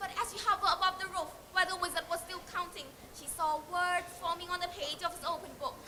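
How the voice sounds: Bright and sharp in tone, the voice moves at a fast pace with fairly even intonation. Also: woman, extremely high pitch for a woman.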